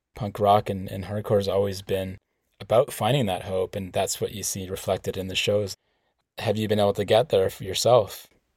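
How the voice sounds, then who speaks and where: On a very clean recording with a silent background, a man's fairly low, somewhat breathy voice holds a flat, monotone intonation. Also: fairly quick pace. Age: middle-aged. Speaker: podcast host. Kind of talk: interview.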